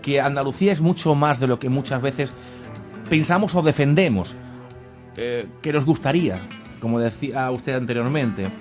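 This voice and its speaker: With music in the background, a man with a fairly high pitch speaks at a fairly slow pace with lively intonation. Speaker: radio presenter. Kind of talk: radio interview introduction. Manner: hesitant, many fillers.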